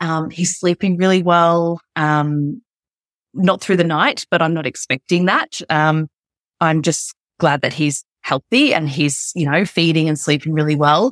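Fairly slow and very even in loudness, a woman speaks at a fairly low pitch with ordinary pitch variation, in a very clean recording with a silent background. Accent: Australian. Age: 30s. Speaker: podcast guest, mother sharing birth story. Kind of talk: casual interview chat.

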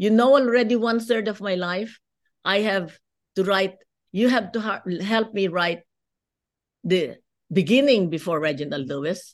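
Against a quiet background, a woman with a Filipino accent speaks at a moderate pace and medium pitch, her intonation lively and her speech marked by long, frequent pauses. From Philippines. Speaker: businesswoman and lawyer. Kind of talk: interview.

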